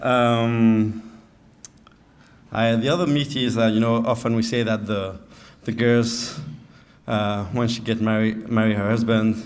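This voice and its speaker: A man speaks fairly slowly in a monotone, flat way, with long, frequent pauses. Room echo is audible. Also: medium pitch for a man. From France. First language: French. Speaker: groom. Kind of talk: wedding speech. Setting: wedding reception with audience. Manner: halting, many fillers.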